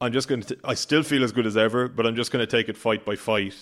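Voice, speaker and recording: A man in an Irish accent, very fast, medium in pitch and fairly even in intonation, on a very clean recording with a silent background. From Ireland. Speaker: boxing reporter. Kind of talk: casual chat. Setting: podcast recording.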